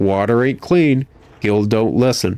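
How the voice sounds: A reader sounding natural, with pitch shifting in an ordinary way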